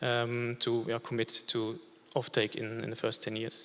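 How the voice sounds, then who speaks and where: A man talks at a moderate pace in a bright, sharp tone, recorded very cleanly against a silent background. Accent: German. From Germany. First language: German. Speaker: industry representative, panelist. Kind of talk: panel discussion. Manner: many filler hesitations.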